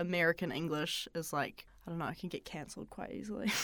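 A woman with a New Zealand accent speaks very fast at a fairly low pitch. Her intonation is fairly even, and the recording is very clean with a silent background. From Auckland, New Zealand. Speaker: local student guest. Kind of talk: casual conversation.

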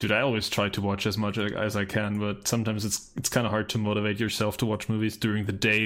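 In a non-native accent, a man speaks at a very fast pace with hardly any pauses, his fairly low pitch held monotone with flat intonation and very even loudness, on a very clean recording with a silent background. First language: not English. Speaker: movie podcast co-host. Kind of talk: casual chat.

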